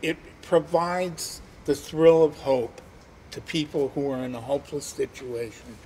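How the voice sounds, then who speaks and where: Fairly even intonation runs through a man's somewhat breathy voice. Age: 60s. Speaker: formerly homeless volunteer. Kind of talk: interview testimony. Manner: halting.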